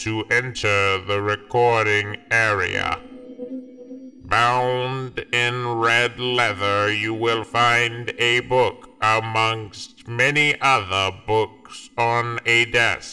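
A robotic, raspy man's voice at medium pitch, monotone and flat, at a very slow pace. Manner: cold, commanding.

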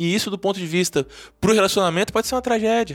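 The recording is very clean and the background silent. A man talks at a high pitch with ordinary pitch variation. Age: 40s. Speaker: urologist and sex therapist. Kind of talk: interview.

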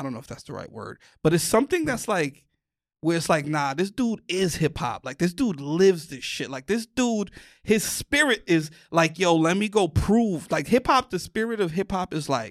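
A man with a New York accent speaks at a moderate pace with a high pitch and lively intonation. The recording is very clean with a silent background and has a dry, close sound with no echo. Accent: New York (Bronx). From New York, the Bronx. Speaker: comedian. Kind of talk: casual chat. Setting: studio.

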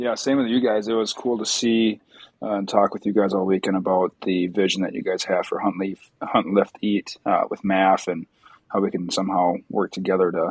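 With an American accent and a normal speaking voice, a man speaks at a fairly quick pace in a fairly low pitch. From Wisconsin. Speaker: physical therapist. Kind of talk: casual podcast chat.

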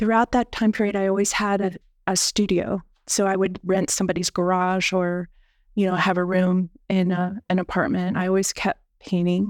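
A woman with an American accent speaks at medium pitch and a moderate pace in a monotone, flat intonation with very even loudness, recorded very clean with a silent background and a dry, close sound with no echo. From Pennsylvania, near Gettysburg. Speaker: artist and curator. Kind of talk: interview. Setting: studio.

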